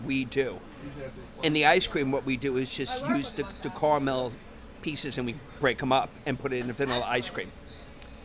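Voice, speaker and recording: Against noticeable background noise, a man with an American accent speaks at a fairly quick pace, medium pitch and fairly even intonation. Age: 50s. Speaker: ice cream parlor owner. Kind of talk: interview.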